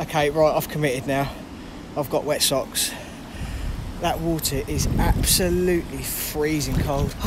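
Noticeable background noise behind a dry, echo-free male voice. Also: fairly slow pace. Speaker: urban explorer vlogger. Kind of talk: casual vlog chat. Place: waterside. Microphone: phone near.

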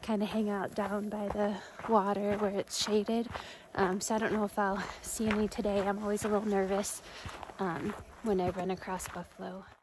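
A woman speaks in a flat monotone at a moderate pace. The sound is dry with no echo, but background noise is noticeable. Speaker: hiker vlogger. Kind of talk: casual vlog chat. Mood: relaxed and cheerful. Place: forest. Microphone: phone near.

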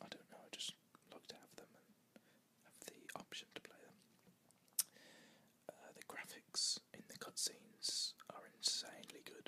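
Whispering at a fairly slow pace, a woman leaves long, frequent pauses, with big swings in loudness. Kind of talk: casual talk to camera. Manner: casual, chatty.

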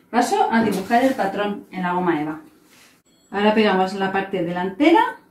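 Audible room echo hangs around the voice. A woman speaks at a moderate pace, pitch varying in an ordinary way. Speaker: presenter. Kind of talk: tutorial. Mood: cheerful, warm. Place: home room. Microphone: camera far.

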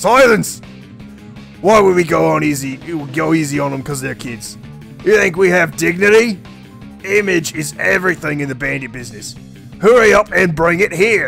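Over clear background music, a man does a put-on character voice at a moderate pace. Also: fairly high pitch for a man. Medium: game stream. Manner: blustering, bossy.

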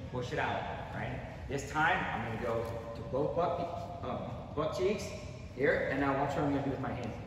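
A man talks at a moderate pace with ordinary pitch variation. Strong room echo and noticeable background noise fill the recording. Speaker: wrestling coach. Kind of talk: tutorial. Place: gym.

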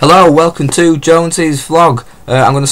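At a fairly quick pace, a man is talking. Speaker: football fan vlogger. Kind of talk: casual vlog chat. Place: home room. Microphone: webcam.

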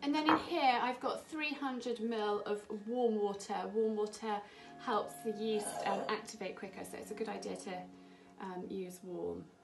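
Clear music plays in the background as the speech moves at a fairly slow pace with ordinary pitch variation. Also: woman. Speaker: home cooking host. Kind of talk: tutorial. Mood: warm, cheerful. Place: kitchen. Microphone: camera far.

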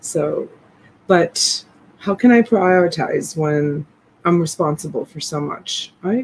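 A woman's somewhat breathy, fairly low voice at a very slow pace, with ordinary pitch variation, big swings in loudness and light background noise. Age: 50s. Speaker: online reseller and live seller. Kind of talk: live selling stream, casual chat. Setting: home livestream. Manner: softly whispering. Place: home room. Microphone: phone near.

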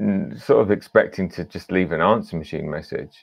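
A man speaks at a moderate pace with a very deep, low pitch. The background is quiet. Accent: British. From Britain. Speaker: film director. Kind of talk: panel discussion; panel interview answer, storytelling. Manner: halting. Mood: enthusiastic, amused. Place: home room. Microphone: video call.

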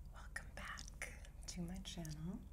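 Loud background noise fills the clip. A woman talks at a very slow pace. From Upper Midwest, USA. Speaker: ASMR artist. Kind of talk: ASMR soft-spoken ramble to camera. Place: home room. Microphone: phone near.

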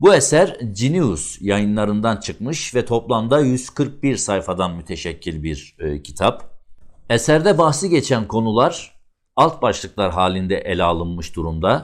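A man speaks very slowly in a fairly low voice, his pitch swinging very widely, on a very clean recording with a silent background. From Ardahan region, northeastern Turkey. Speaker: video channel presenter. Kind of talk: book review presentation. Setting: studio. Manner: formal.

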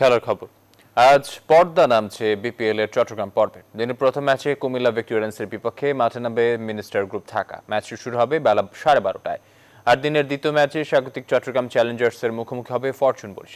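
This man's voice sits at a medium pitch with ordinary pitch variation. It is a plain, everyday voice. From Bangladesh. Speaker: news anchor. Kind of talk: news reading. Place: studio. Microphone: lapel.

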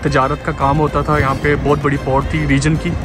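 Against clear background music, a man talks at a fairly slow pace in a dry sound with no echo. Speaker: vlogger guide. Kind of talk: casual vlog chat. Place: waterside. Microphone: phone near.

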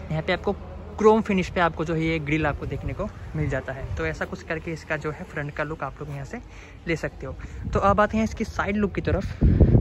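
Noticeable background noise sits behind a man speaking at a moderate pace. His pitch varies in an ordinary way, and the sound is dry with no echo. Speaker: car reviewer. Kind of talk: product walkaround commentary. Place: street. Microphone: phone near.

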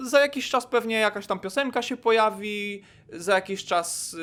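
Pitched high, a man's voice moves at a moderate pace. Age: 20s. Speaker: youtuber. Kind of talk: casual monologue to camera.

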